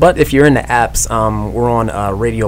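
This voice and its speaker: The voice belongs to a man. There is noticeable background noise around it. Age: 30s. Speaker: podcast co-host, husband. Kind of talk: casual radio interview.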